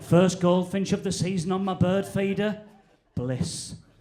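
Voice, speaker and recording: With a Northern English accent, a man with a high pitch speaks at a very slow pace. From Northern England. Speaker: stand-up comedian. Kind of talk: stand-up comedy set.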